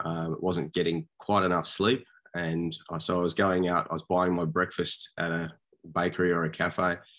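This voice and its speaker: In a very clean recording with a silent background, a man with an Australian accent and a very deep, low pitch speaks at a moderate pace in a monotone, flat intonation. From Sydney, Australia. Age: 40s. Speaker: small business owner. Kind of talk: interview.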